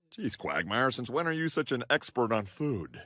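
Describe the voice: A cartoonish character voice at a moderate pace. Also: man, medium pitch for a man.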